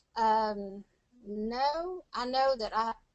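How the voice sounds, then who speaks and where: Speaking in a Tennessee accent, a woman has a high-pitched voice. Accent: Southern US, Tennessee. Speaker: medical coding student. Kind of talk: interview answer. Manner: energetic, bubbly.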